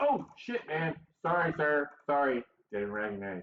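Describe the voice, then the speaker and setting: A man's put-on character voice, with very wide pitch swings and a fairly slow pace. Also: fairly high pitch for a man. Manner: sheepish, deferential.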